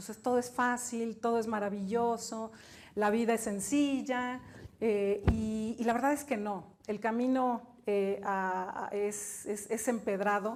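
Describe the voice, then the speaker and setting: A woman with a fairly high pitch speaks at a very slow pace, her intonation fairly even. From Mexico. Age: 50s. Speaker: business executive and author. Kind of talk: keynote talk.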